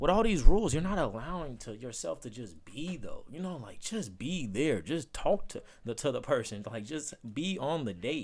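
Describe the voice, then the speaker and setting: Showing vocal fry, a man with a fairly high voice talks at a moderate pace, his pitch swinging very widely and his loudness changing a great deal. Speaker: vlogger. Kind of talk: casual monologue. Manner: occasional stutter; casual, halting.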